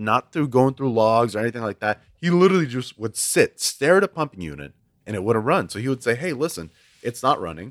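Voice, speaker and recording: A man with an American accent at a fairly quick pace, very wide pitch swings, dry, close sound with no echo, and a very clean recording with a silent background. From Houston, Texas. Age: 20s. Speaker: oil and gas executive. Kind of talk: casual chat.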